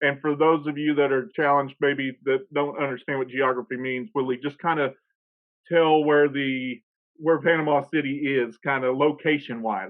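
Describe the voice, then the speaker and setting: Speaking with an American accent, a man uses a normal speaking voice, fairly high in pitch, with fairly even intonation at a moderate pace. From northeast Oklahoma. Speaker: podcast host. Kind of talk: podcast interview.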